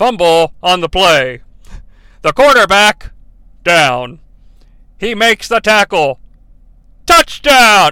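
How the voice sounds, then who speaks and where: Using a robotic, put-on character voice at a high pitch, a man talks very slowly with long, frequent pauses. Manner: excited announcer.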